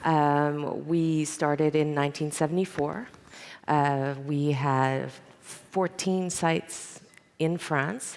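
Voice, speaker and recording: This woman's voice sits at a very deep, low pitch. Her intonation stays fairly even. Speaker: company internationalization coordinator. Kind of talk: on-stage interview. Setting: stage with audience. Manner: loud.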